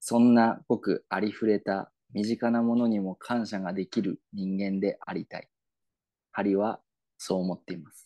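In a Yamagata accent, a man speaks at a moderate pace with a fairly low pitch, a dark, mellow tone and monotone, flat intonation. His loudness swings widely, and the sound is dry and close with no echo over a quiet background. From Yamagata, Japan. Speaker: podcast co-host. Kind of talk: mock promotional announcement; casual chat.

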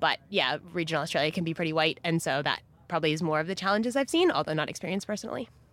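A woman with a Californian accent talks at a very fast pace in a fairly low pitch. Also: ordinary pitch variation. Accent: Californian American. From US, California (Silicon Valley). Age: young. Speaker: agtech worker. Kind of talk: casual chat.

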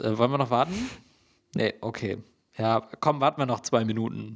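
An unremarkable speaking voice with ordinary pitch variation comes through on a very clean recording with a silent background. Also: man. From Hesse, Germany. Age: 20s. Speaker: podcast co-host. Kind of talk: casual chat.

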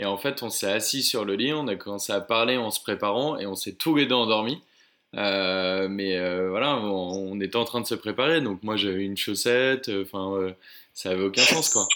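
Moderate-paced speech from a man with a fairly low pitch, a bright, sharp tone and ordinary pitch variation, on a very clean recording with a silent background. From Oise, northern France. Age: 20s. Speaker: traveler. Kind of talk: interview.

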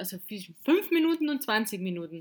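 The woman has an unremarkable speaking voice. She talks at a fairly slow pace with lively intonation. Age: 20s. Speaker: podcast co-host. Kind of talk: casual chat.

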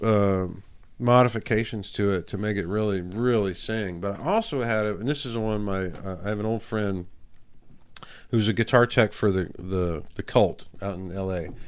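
A plain, everyday voice from a man with fairly low pitch, at a moderate pace with fairly even intonation, on a very clean recording with a silent background. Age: 50s. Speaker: rock guitarist. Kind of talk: casual interview chat.

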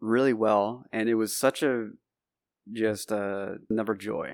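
On a very clean recording with a silent background, a man talks at a fairly slow pace with a medium pitch. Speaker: podcast co-host. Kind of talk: casual chat.

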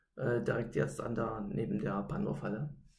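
A man's voice with vocal fry comes at a moderate pace, with audible room echo around it. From East Germany, Gera (Thuringia). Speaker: roller hockey club official and former player. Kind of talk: casual interview.

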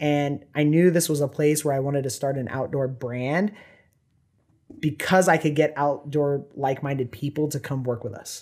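Recorded very cleanly against a silent background, a man with an American accent speaks at a moderate pace with fairly even intonation. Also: fairly high pitch for a man. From Southern California. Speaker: company founder. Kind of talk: casual chat.

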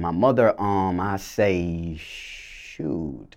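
This is a man speaking. He has an Atlanta accent. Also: quiet background. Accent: Southern US, Atlanta. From US South, Clayton County, metro Atlanta, Georgia. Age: young. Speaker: recording artist and producer. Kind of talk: interview. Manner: halting, many fillers.

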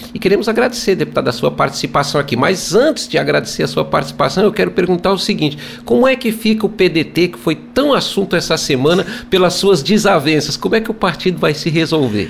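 With noticeable background noise behind him, a man with a high voice talks at a very fast pace, his pitch swinging very widely. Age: 60s. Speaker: radio host and journalist. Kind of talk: radio interview. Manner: formal.

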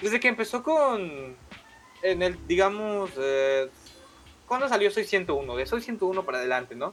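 A man with a Mexican accent speaks fairly slowly, his voice pitched high with very wide swings. Noticeable background noise sits behind him. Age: 20s. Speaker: podcast co-host. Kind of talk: casual chat.

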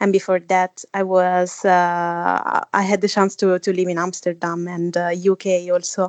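Fairly slow, monotone delivery with hardly any pauses, in a dry, close sound with no echo and a quiet background. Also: woman, medium pitch for a woman. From Italy. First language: Italian. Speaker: 3D artist and author. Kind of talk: interview conversation. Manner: halting, many fillers.

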